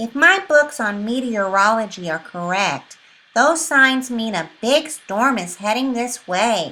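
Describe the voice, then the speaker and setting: A woman puts on a character voice with a fairly high pitch. She speaks at a fairly slow pace. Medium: read story. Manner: polite, mild.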